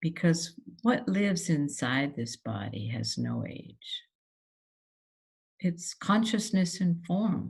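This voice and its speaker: A woman talks at a very slow pace, fairly low in pitch, with vocal fry. Her pitch swings very widely, and long pauses come frequently. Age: 70s. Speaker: human design practitioner. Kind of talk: personal monologue to camera. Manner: halting, many fillers.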